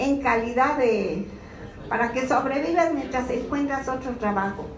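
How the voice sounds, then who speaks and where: A woman with a high voice speaks fairly slowly in an animated tone, with audible echo in the room. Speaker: social security activist. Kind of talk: informational talk to a meeting.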